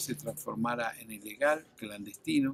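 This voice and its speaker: A man with an unremarkable speaking voice talks at medium pitch and a moderate pace. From Argentina. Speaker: former air force officer. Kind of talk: testimony.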